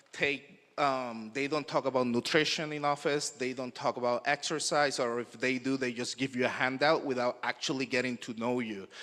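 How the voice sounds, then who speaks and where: With a Spanish accent, a man talks at a moderate pace with hardly any pauses, his medium pitch held in fairly even intonation and a bright, sharp tone. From Puerto Rico. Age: young. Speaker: naturopathic doctor. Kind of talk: conference talk. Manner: halting.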